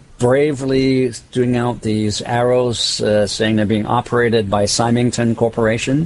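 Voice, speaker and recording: A man at medium pitch speaks at a fairly slow pace with monotone, flat intonation. His loudness stays very even over noticeable background noise. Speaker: game master. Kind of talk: actual play roleplaying game session. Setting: online voice call.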